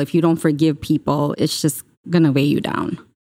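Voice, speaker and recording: On a very clean recording with a silent background, a woman speaks at a fairly quick pace in a very deep, low pitch. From Chicago, US, immigrant child. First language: not English. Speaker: real estate wholesaler. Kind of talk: interview, casual chat.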